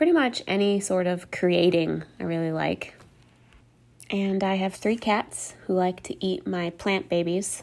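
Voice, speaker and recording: The recording of this woman at a fairly slow pace is very clean, with a silent background. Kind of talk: solo monologue, partly scripted. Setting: home recording with rain and thunder outside. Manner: halting, with pauses and fillers.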